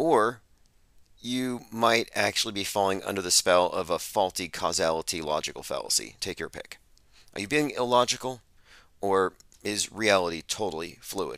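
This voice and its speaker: A man speaks with a normal speaking voice and a fairly low pitch that varies in an ordinary way, at a moderate pace, on a very clean recording with a silent background. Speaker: podcast host. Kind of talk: commentary on played clips. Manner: sarcastic.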